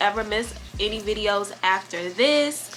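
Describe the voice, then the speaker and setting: Music plays behind a woman as she talks. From US Midwest, Gary, Indiana. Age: 20s. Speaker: YouTuber, college student. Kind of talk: casual chat.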